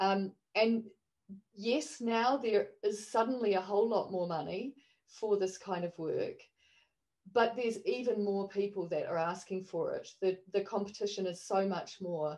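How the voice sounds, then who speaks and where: A woman with a New Zealand accent speaks at a fairly slow pace, her medium pitch showing ordinary variation. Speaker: online performance artist. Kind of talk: panel discussion.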